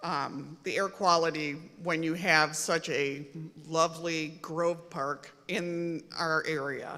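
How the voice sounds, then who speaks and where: A woman speaks at a very slow pace and a fairly low pitch, in a monotone, flat intonation. Noticeable background noise runs underneath. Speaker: public commenter, nurse. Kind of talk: public hearing comment. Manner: loud.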